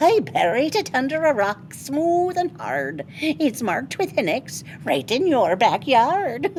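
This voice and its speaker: A woman's high-pitched put-on character voice at a fairly slow pace, with very wide pitch swings over clear background noise. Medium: read story. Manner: playful, teasing.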